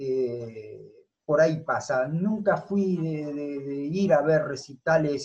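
With a dark, mellow tone that is somewhat breathy, a man speaks at a fairly high pitch with ordinary pitch variation. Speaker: football coach. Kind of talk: interview.

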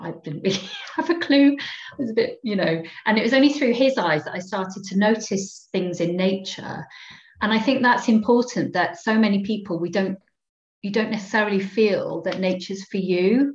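Speaking at a moderate pace, a woman uses a medium pitch and lively intonation in a somewhat breathy voice. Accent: Cardiff. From Wales, inner-city Cardiff. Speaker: psychologist and engagement manager. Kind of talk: casual interview.

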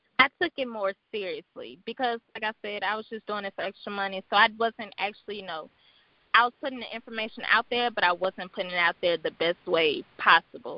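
A woman speaks at a fairly quick pace in a fairly high pitch, with ordinary pitch variation and big swings in loudness. Hers is an unremarkable speaking voice. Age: 20s. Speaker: web designer and entrepreneur. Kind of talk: casual interview chat.

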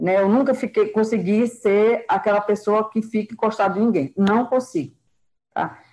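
A woman's fairly high voice with a dark, mellow tone and very even loudness. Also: ordinary pitch variation, moderate pace. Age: 50s. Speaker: group participant, caregiver.

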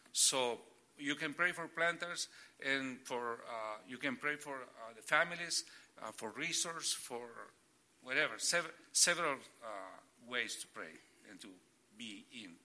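With a bright, sharp tone, a man speaks at a fairly slow pace with lively intonation, big swings in loudness, and long, frequent pauses. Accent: Spanish. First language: Spanish. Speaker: church planter. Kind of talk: casual interview. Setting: church. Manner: halting.

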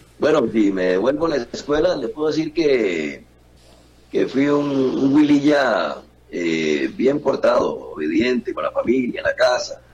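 A fairly slow pace, with noticeable background noise underneath. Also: man. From Costa Rica, San José. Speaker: journalist. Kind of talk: interview.

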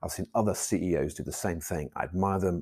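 Speaking with a British accent, a man with a very deep, low pitch keeps a moderate pace in a very clean recording with a silent background. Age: 50s. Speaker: school principal. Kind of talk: motivational monologue. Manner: halting.

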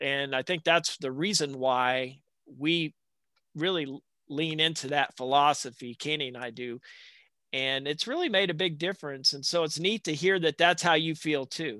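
In a quiet background with a dry, close sound and no echo, a man speaks in a Southern US accent. His fairly high voice has a bright, sharp tone and ordinary pitch variation. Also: moderate pace. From US South, south Alabama. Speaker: podcast host. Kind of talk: interview.

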